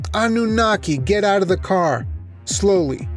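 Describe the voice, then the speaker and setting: Against clear background music, a man performs a put-on character voice, high-pitched, with lively intonation at a moderate pace. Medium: read story. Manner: curt, menacing.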